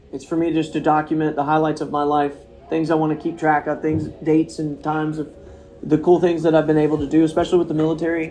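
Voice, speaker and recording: Over noticeable background noise, a man talks at a very fast pace. His fairly high voice has a monotone, flat intonation. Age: 30s. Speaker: podcast host. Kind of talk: casual chat. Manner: rambling, lots of fillers.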